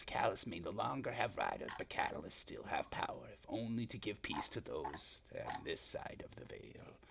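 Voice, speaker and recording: A man uses a put-on character voice at a moderate pace with hardly any pauses, over light background noise. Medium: actual play. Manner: mutters, speaks of himself in third person, broken grammar.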